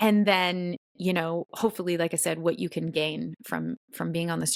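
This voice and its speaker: A woman with a West Coast accent speaks at a moderate pace and a fairly low pitch. The recording is very clean, with a silent background. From US Pacific Northwest, Washington. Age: 40s. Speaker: podcast host. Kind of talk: personal storytelling monologue. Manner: casual, halting with repetitions.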